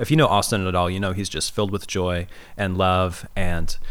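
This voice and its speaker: With lively intonation, a man talks in a plain, everyday voice at a moderate pace. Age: 30s. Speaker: pastor and podcast host. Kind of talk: casual chat; scripted intro.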